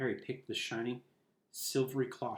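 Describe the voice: What you hear is plain reading aloud.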